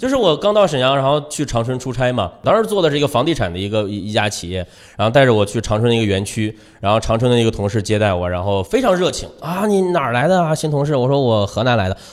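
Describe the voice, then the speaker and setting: The pitch swings very widely. The pace is very fast. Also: man, medium pitch for a man. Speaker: radio host and stand-up comedian. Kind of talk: casual chat.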